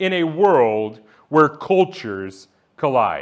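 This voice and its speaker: A man at a very slow pace against a quiet background. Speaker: church elder, sermon preacher. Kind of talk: sermon preaching to a congregation. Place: church. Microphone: lapel.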